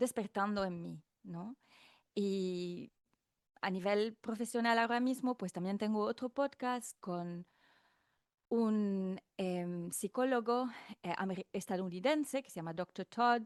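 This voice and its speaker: A woman with a slight French accent speaks at a very slow pace, her loudness swinging widely, with long, frequent pauses and a dry, close sound free of echo. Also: medium pitch for a woman, ordinary pitch variation. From France. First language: not Spanish (speaking Spanish). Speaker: podcast host, guest. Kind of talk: casual chat. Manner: fluent.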